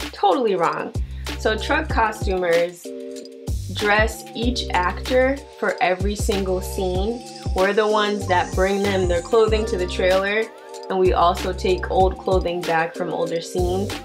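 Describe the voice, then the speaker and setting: Clear music can be heard in the background. Over it, a woman speaks fairly slowly. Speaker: vlogger. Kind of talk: casual storytime vlog chat.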